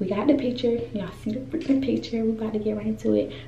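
A woman amid audible room echo and light background noise. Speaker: vlogger. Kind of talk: casual vlog chat. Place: bathroom. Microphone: phone near.

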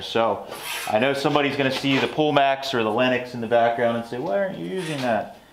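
A man speaks at a fairly quick pace over noticeable background noise. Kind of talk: casual shop tutorial chat. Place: workshop.

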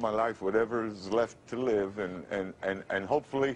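A man speaks in an American accent with ordinary pitch variation. Light background noise can be heard. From United States. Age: 50s. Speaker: formerly homeless man with a gifted radio voice. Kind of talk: TV interview answer. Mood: emotional, hopeful, humble. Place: studio.

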